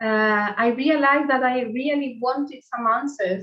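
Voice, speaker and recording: With an Argentine accent, a woman talks at a fairly slow pace and a fairly high pitch, using ordinary pitch variation. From Argentina. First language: Spanish. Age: 40s. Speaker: meditation teacher. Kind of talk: spiritual talk to a group. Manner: halting.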